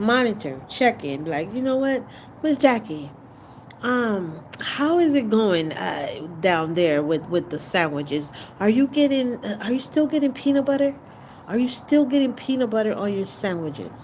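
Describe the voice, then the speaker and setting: An angry-toned woman with a Jamaican accent speaks at a fairly high pitch that swings very widely, with noticeable background noise behind her. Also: moderate pace. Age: 40s. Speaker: livestreamer. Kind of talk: livestream talk. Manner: sounds angry to some; casual, halting.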